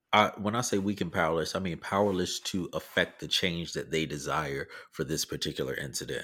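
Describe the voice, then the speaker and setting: On a very clean recording with a silent background, a man with an American accent and a very deep, low pitch talks at a fairly quick pace with hardly any pauses, ordinary pitch variation and vocal fry. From US South. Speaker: podcast co-host. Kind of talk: casual political discussion.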